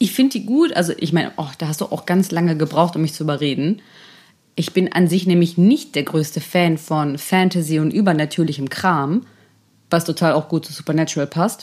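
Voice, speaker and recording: Her pitch sits fairly low for a woman, with ordinary pitch variation. She has a normal speaking voice and a fairly quick pace. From Germany, North Rhine-Westphalia. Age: 30s. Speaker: podcast co-host. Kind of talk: casual chat.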